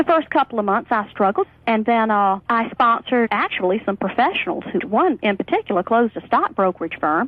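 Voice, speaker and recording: A woman's fairly high voice with lively intonation, against noticeable background noise. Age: 40s. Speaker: network marketer. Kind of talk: interview testimony.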